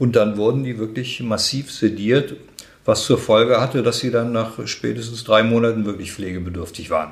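A man speaks at a medium pitch and a moderate pace. His voice is somewhat breathy, with ordinary pitch variation. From Germany, Braunschweig. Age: 60s. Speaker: head of a charity for elderly people. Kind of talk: interview. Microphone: muffled from wearing a mask.

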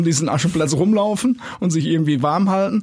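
A man's fairly high pitch at a very fast pace. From Dortmund, Ruhr area, Germany. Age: 60s. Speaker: youth football director. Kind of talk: casual interview. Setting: studio. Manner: halting, many fillers.

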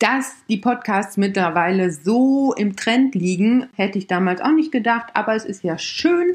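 Very slowly, a woman speaks at a fairly high pitch with very wide pitch swings. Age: 30s. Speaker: podcast host and camping blogger. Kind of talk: casual monologue. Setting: home recording at laptop.

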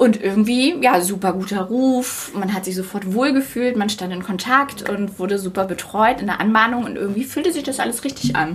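A woman speaks at a moderate pace with hardly any pauses, her medium pitch carrying lively intonation over noticeable background noise. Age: 30s. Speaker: media project lead, business school alumna. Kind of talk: casual interview.

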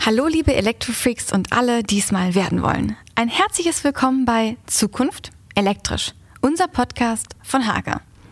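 Lively intonation from a woman at a fairly high pitch, with very even loudness, a moderate pace and noticeable background noise. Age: 20s. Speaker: podcast host, marketing employee. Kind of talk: casual scripted podcast intro.

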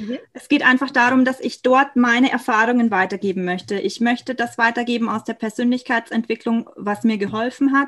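This woman has a high pitch and fairly even intonation. She talks at a fairly quick pace with hardly any pauses. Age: 20s. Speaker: chronic illness patient and aspiring coach. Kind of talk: personal testimony in interview.

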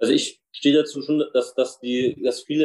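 A man is speaking here. His pace is fairly quick. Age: 20s. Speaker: politician. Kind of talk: interview. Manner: halting.

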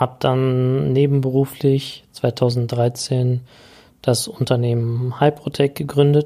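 A man speaks at a medium pitch and a very slow pace. His intonation is flat and monotone. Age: 30s. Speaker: podcast host, IT business owner. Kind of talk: podcast intro monologue. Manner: casual with filler sounds.

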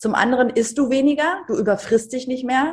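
A woman talks at a moderate pace against a quiet background. Her somewhat breathy voice shows ordinary pitch variation. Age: 50s. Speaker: TV presenter and author. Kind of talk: podcast interview. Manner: animated.

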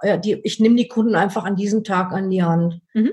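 Her medium-pitched, somewhat breathy voice moves at a moderate pace. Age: 50s. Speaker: dog trainer. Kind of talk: interview. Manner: hesitant, many filler sounds.

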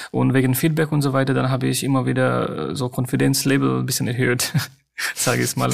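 A man talks at a moderate pace with a non-native accent. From Nepal. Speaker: hospital doctor. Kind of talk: interview. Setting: remote line.

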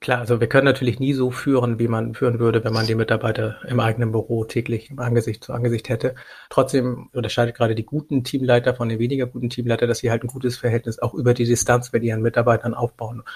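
Very fast and with hardly any pauses, a man speaks at a medium pitch, somewhat breathy, in a monotone, flat intonation. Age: 40s. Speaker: logistics company managing director. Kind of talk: interview.

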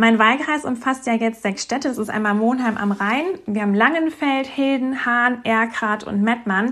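A woman talks at a moderate pace with hardly any pauses. Her pitch is high, with ordinary variation. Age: 30s. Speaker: politician and teacher. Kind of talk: interview. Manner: hesitant with fillers.

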